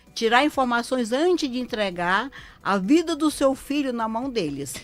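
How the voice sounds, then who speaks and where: A woman with a high voice speaks at a moderate pace with lively intonation while music plays in the background. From Ceará, Brazil. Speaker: lawyer. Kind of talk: live radio interview. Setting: radio studio.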